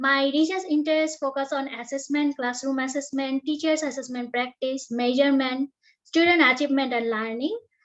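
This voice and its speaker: A woman's high-pitched voice, fairly quick, with fairly even intonation. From Bangladesh. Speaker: panel chair, doctoral student. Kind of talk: panel discussion moderation. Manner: formal.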